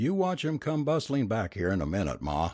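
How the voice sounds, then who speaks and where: A man puts on a raspy character voice of medium pitch with very wide pitch swings. He moves at a fairly quick pace, keeping his loudness very even. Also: quiet background. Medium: read story. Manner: plain, folksy.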